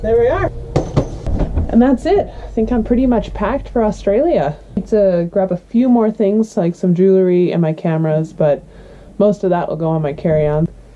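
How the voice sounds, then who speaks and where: Against noticeable background noise, a woman with a strong Canadian accent speaks at medium pitch and a moderate pace with lively intonation. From Canada, northern British Columbia. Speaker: professional basketball player and vlogger. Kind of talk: casual vlog.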